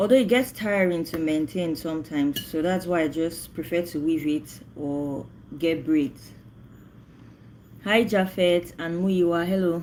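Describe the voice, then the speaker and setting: A woman with a Nigerian accent, fairly low in pitch, at a fairly slow pace with ordinary pitch variation. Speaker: livestreamer. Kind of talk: casual chat.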